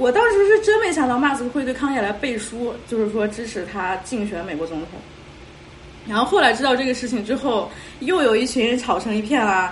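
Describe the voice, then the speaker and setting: Her pitch is high and her intonation lively as this woman speaks at a fairly quick pace. Audible room echo and noticeable background noise come through. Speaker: podcast host. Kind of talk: casual chat. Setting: video call.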